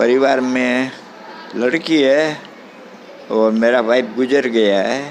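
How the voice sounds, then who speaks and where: The voice keeps fairly even intonation with long, frequent pauses, heard through audible room echo and noticeable background noise. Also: man, medium pitch for a man. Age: 80s+. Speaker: old age home resident. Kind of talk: interview. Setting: old age home.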